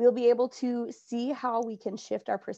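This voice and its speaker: A woman with an American accent is speaking. She keeps a moderate pace over a quiet background. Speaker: adapted physical education teacher. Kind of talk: conference presentation. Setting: virtual conference recording.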